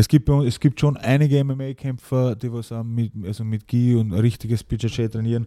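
Dark and mellow in tone, this man's voice sits at a medium pitch. His intonation is monotone and flat. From Upper Austria, Innviertel (Ried im Innkreis). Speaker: mixed martial arts fighter. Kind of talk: casual interview. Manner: halting, many fillers.

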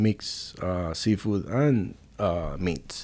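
Lively intonation marks a man with a Spanish accent and a fairly low pitch. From Puerto Rico. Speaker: restaurant owner and chef. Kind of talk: casual interview.

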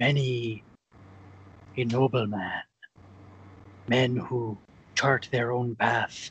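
A man at a medium pitch uses a put-on character voice and speaks very slowly. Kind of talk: comic mock-pirate speech. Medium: comedy sketch. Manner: grandiose, preachy, intense.

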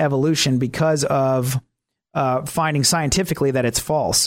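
The speaker is a man. The recording is very clean with a silent background. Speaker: radio talk show host. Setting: radio studio. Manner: hesitant, full of filler words (uh, um) and restarts; sometimes rushes and catches himself.

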